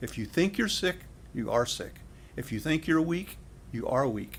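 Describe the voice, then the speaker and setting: A man's voice with vocal fry, lively intonation and a moderate pace. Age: 70s. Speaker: direct sales leader. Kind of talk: interview. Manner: repetitive, halting starts.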